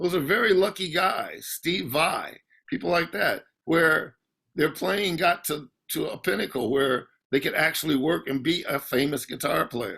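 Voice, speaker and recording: Speaking at a moderate pace, a man uses a fairly high pitch, lively intonation, a bright, sharp tone and vocal fry on a very clean recording with a silent background. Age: 60s. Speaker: session guitarist. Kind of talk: interview. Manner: halting.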